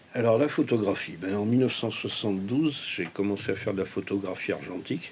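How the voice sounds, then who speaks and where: Speaking at a fairly quick pace with hardly any pauses, a man uses a fairly low pitch with ordinary pitch variation. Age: 60s. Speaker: retired amateur photographer. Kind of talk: documentary interview; giving directions during photo shoot. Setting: home photo studio. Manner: hesitant, many filler words.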